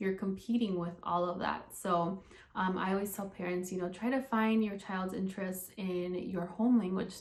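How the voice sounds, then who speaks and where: A woman with a medium pitch keeps a moderate pace as she talks. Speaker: speech-language pathologist. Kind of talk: casual talk to followers. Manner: many filler ums.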